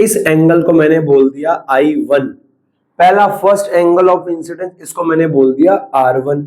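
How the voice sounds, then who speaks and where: Fairly slow in pace, a man speaks high in pitch with ordinary pitch variation. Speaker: physics teacher. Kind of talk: lecture. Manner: not speaking loudly.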